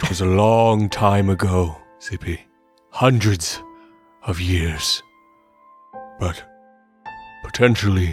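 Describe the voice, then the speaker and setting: Over faint background music, a man performs a put-on character voice at a fairly low pitch, moving at a fairly slow pace with long, frequent pauses. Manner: formal, slow, commanding.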